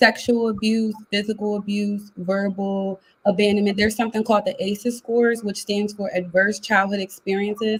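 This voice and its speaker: A woman speaks in a flat monotone, somewhat breathy, with hardly any pauses. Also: medium pitch for a woman. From US Northeast, Philadelphia. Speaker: life coach. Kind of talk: interview. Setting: live video call. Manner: fast.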